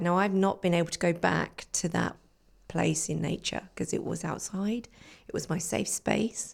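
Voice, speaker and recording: At a moderate pace, a woman talks on a very clean recording where the background is silent. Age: 40s. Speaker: life coach and forest therapy guide. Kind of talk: casual chat. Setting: in person with host.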